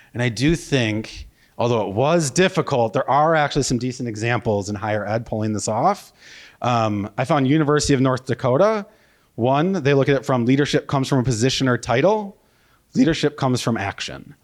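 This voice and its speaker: A man with a Wisconsin accent talks at a fairly quick pace, his medium pitch carrying lively intonation, on a very clean recording with a silent background. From US Midwest, Wisconsin. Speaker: marketing consultant, conference speaker. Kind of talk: conference keynote. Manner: casual, with many fillers and restarts.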